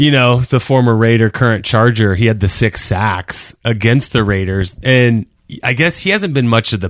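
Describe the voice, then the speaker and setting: In a very clean recording with a silent background, an ordinary speaking voice moves at a moderate pace with ordinary pitch variation. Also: man. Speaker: sports betting podcast co-host. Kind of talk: casual chat.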